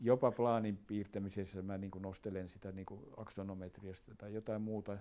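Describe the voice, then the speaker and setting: A man with a dark, mellow tone talks at a fairly low pitch and a moderate pace. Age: 80s+. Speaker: architect. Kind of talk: documentary interview answer.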